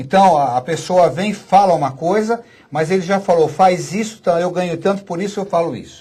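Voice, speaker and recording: This man has a high pitch and a dark, mellow tone. He speaks at a moderate pace with ordinary pitch variation. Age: 60s. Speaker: physician and author. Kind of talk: radio interview. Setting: studio.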